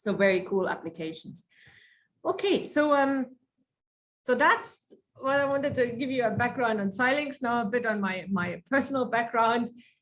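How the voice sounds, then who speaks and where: A woman with a German accent speaks at a high pitch and a moderate pace, with lively intonation. She leaves long, frequent pauses, and audible room echo surrounds her voice. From Germany. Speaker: research engineer. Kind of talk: lecture.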